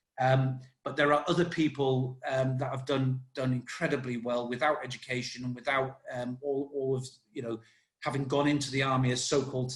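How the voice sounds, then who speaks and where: At a moderate pace, a man with a medium pitch speaks in a somewhat breathy voice with fairly even intonation. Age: 50s. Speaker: army veteran. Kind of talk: casual chat. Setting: podcast interview. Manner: halting.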